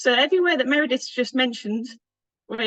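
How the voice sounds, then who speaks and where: With a Northern English accent, a woman talks in a high pitch. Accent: Northern British. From northern England. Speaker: food safety consultant and conference speaker. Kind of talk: conference presentation.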